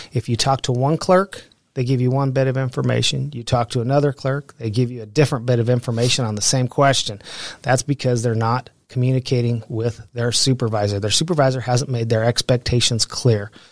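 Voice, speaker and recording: In a normal speaking voice, a man talks at a fairly quick pace and medium pitch with fairly even intonation, the sound dry and close with no echo. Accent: American. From Pueblo, Colorado. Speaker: local political candidate, retired prison worker. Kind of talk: interview.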